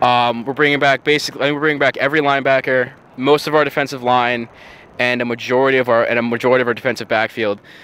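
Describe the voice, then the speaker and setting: In a dry sound with no echo, a man with an American accent speaks very fast at medium pitch, his tone bright and sharp and his intonation flat and monotone. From Long Island, New York; New York. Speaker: college football player and ROTC student. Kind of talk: interview. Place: waterside. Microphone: handheld.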